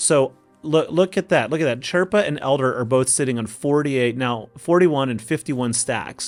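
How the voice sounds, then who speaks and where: With music in the background, a man with an American accent and a fairly high voice talks at a moderate pace. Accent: Oklahoma accent slips out at times. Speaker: gaming youtuber. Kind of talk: gameplay commentary tutorial. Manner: animated.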